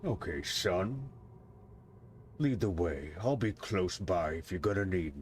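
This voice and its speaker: Using a put-on character voice that is very deep and low, a man speaks at a fairly slow pace with long, frequent pauses over clear background noise. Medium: actual play. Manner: clipped, wary.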